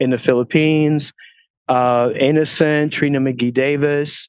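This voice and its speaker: A man with a Quebec accent speaks at a fairly high pitch with ordinary pitch variation. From Quebec, Montreal. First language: French. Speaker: film producer and talent agent. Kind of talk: interview. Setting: walking outdoors at a film studio lot, video call.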